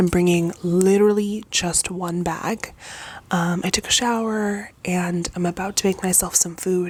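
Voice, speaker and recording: Noticeable background noise under fairly slow talking. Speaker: special education teacher vlogger. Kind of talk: casual vlog.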